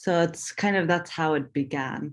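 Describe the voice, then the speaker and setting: A woman with a very deep, low pitch speaks with fairly even intonation. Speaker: artist. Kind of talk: panel talk. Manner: halting, many fillers.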